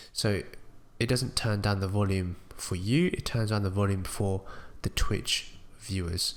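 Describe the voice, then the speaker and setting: Speaking at a fairly slow pace, a man keeps his fairly low voice in fairly even intonation. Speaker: small-time streamer making tutorials. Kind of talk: tutorial.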